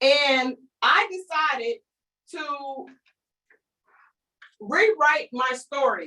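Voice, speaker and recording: Someone with a North Carolina accent speaks in a raised, projected voice with a bright, sharp tone. The delivery is animated, with ordinary pitch variation. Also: woman. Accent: Southern rural North Carolina. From eastern North Carolina (Kinston). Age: 30s. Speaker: business coach. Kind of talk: online training presentation.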